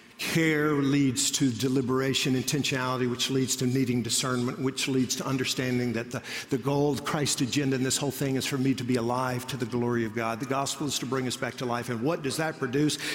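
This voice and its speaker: With hardly any pauses, a man speaks at a fairly quick pace in a medium-pitched monotone, amid audible room echo and noticeable background noise. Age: 30s. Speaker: pastor. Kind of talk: sermon. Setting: church auditorium.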